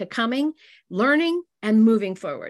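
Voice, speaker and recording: Against a quiet background, a woman speaks with an unremarkable speaking voice. Her fairly high pitch moves with lively intonation. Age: 60s. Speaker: direct sales business leader. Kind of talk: business talk.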